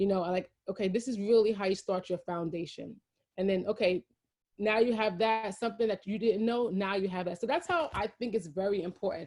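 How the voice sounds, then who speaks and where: Speaking fast-ish with a New York accent, a woman keeps a medium pitch. Her pitch varies an ordinary amount. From Brooklyn, New York. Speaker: champagne brand founder. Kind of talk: interview.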